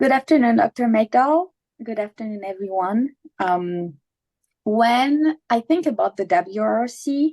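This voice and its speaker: A woman with a non-native accent speaks at a fairly slow pace, her fairly high voice dark and mellow in tone. Her intonation is lively, and the sound is dry and close with no echo. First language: not English. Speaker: water agency manager, former graduate assistant. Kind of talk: prepared remarks in a webinar. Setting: virtual webinar.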